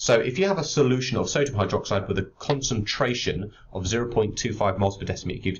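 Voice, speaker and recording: Somewhat breathy, this voice has a British accent and ordinary pitch variation. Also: man. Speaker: chemistry teacher. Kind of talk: tutorial.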